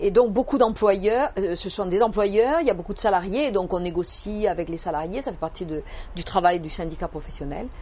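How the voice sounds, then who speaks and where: A woman with a Toulouse accent speaks at a medium pitch and a fairly quick pace, with lively intonation and big swings in loudness, over noticeable background noise. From southern France, Toulouse. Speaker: accountant and business owner. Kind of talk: interview. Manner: hesitant, many fillers.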